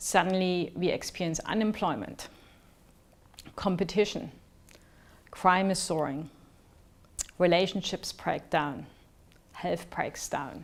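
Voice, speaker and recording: A woman with a German accent speaks very slowly in a fairly low voice with vocal fry, ordinary pitch variation, and long, frequent pauses. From East Germany. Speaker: researcher sharing personal story. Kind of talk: personal narrative talk.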